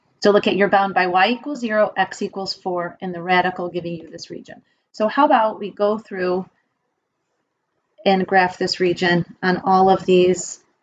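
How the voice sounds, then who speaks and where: A woman with an ordinary speaking voice talks at a moderate pace in a medium pitch, her intonation fairly even. Her loudness swings widely. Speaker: math teacher. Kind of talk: lecture. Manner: casual.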